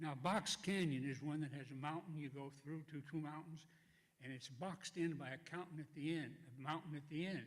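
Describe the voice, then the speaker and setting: Somewhat breathy and fairly high-pitched, the man speaks with fairly even intonation. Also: fairly quick pace. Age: 90s. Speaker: war veteran. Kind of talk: testimony. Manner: halting.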